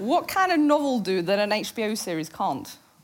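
Very wide pitch swings mark a woman's speech, heard with audible room echo and noticeable background noise. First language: Norwegian. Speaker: journalist and moderator. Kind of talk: on-stage interview. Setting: stage with audience.

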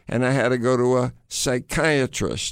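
In a plain, everyday voice, a man with an American accent speaks fairly slowly at a medium pitch, on a very clean recording with a silent background. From United States. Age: 60s. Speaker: adventurer and author. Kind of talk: storytelling interview. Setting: studio.

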